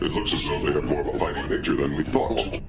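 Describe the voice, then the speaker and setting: Over loud background noise, a man rattles off a cartoonish character voice at a very fast pace. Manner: stiff, haughty.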